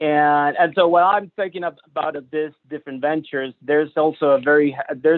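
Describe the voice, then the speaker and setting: The man's voice sits fairly high. He talks at a moderate speed. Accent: strong Mexican. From Mexico, Monterrey. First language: Spanish. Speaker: entrepreneur and business center staff. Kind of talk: webinar presentation. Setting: live-streamed video webinar. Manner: halting, many fillers.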